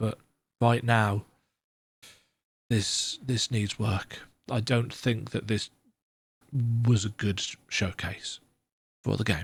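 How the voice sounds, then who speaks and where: A man's put-on character voice, croaky and medium in pitch, at a very slow pace with long, frequent pauses. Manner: negative, disappointed tone.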